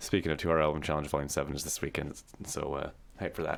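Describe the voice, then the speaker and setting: A man's very deep, low voice at a very fast pace, with fairly even intonation, in a very clean recording with a silent background. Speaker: music streamer. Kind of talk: casual livestream talk. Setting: livestream. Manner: soft-spoken; halting.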